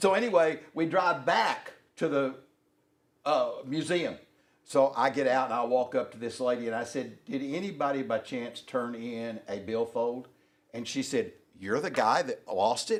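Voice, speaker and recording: At a moderate pace, a man with a Southern US accent speaks in a medium pitch with lively intonation. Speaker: workshop co-presenter. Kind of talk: anecdotal storytelling.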